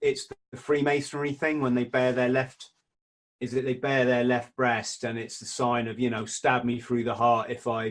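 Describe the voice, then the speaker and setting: A man talks with a London accent. His intonation is monotone and flat. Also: medium pitch for a man, moderate pace. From South-East London. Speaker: former Royal Marines Commando and author. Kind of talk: podcast conversation.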